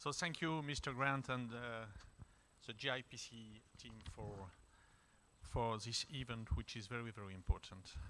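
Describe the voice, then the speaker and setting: A man at medium pitch with a bright, sharp tone, ordinary pitch variation, a moderate pace, long, frequent pauses and big swings in loudness. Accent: French. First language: French. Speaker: diplomat. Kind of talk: panel discussion remarks.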